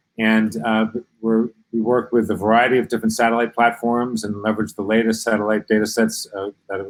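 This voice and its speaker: A man at medium pitch speaks at a fairly quick pace. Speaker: geospatial tech company presenter. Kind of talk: business presentation. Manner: fast; hesitant, many fillers.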